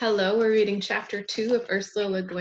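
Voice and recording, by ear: The speaker reads aloud in a natural voice, keeping the intonation fairly even.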